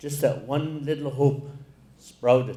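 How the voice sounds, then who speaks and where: A somewhat breathy man speaks at a very slow pace and fairly high pitch, his intonation monotone and flat. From Alaska. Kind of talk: keynote speech. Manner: slow, reflective.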